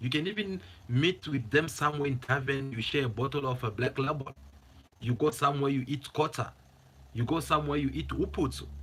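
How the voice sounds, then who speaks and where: Speaking with vocal fry in an animated tone, a man keeps a moderate pace and a fairly high pitch. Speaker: political commentary YouTuber. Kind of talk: opinion monologue to camera. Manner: animated, repetitive.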